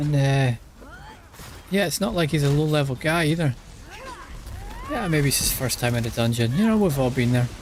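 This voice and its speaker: In a Scottish accent, a man with a fairly high pitch speaks with lively intonation, very even loudness and long, frequent pauses over noticeable background noise. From Scotland. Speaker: streamer. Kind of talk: casual live-stream gaming commentary. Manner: repetitive, halting.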